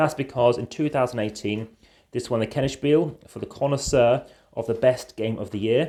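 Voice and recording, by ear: Natural-voiced reading aloud with ordinary pitch variation.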